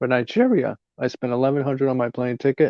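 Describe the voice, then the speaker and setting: A man with an American accent, medium pitch, ordinary pitch variation and a fairly quick pace. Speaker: vlogger. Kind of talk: casual chat. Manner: hesitant, many fillers.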